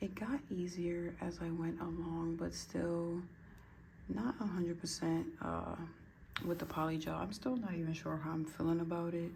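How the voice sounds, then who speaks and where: A woman whispers in a somewhat breathy way with very even loudness. Audible room echo surrounds her voice. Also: moderate pace. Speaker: nail art youtuber. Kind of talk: casual tutorial vlog. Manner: whispering; hesitant, filler-heavy.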